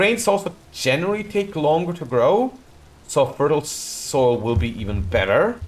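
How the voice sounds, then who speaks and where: A man with a non-native accent speaks at a moderate pace, his fairly high voice showing vocal fry. His pitch swings very widely. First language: not English. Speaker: video game streamer. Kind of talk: live gameplay commentary. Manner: casual, self-correcting.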